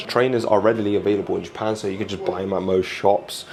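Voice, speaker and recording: Amid noticeable background noise, a man talks at a very fast pace in a fairly low pitch. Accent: British. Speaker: Pokemon card collector vlogger. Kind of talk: casual chat; vlog voiceover narration. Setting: inside a card shop in Tokyo.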